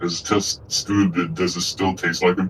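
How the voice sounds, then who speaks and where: Over clear background noise, a man puts on a character voice with a very deep, low pitch, speaking at a moderate pace in a flat monotone. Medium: actual play. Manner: playful, teasing.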